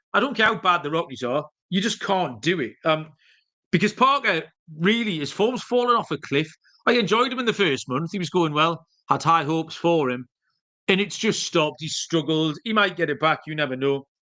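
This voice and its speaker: A man with a strong Geordie accent, high-pitched, bright and sharp in tone, fairly quick and lively in intonation, against a quiet background. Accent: strong northeast English (Geordie). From northeast England, Newcastle. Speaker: sports betting podcast host. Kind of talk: solo podcast betting picks. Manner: casual, with many fillers.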